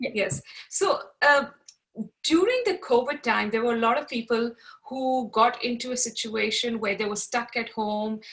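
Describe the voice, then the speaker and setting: This bright, sharp voice keeps a moderate pace with ordinary pitch variation. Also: woman. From Pakistan. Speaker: podcast host. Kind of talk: casual interview.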